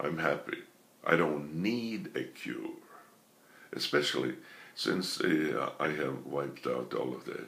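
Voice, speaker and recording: A man speaks at a very slow pace, with audible echo from the room. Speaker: speech therapist who stutters. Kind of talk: lecture. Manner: halting, with repetitions and small deliberate disfluencies.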